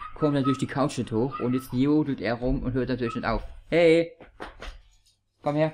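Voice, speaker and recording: A man at a medium pitch and a fairly slow pace, over light background noise. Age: 30s. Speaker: gaming YouTuber. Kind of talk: casual talk to camera. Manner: upbeat. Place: home room. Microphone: studio mic.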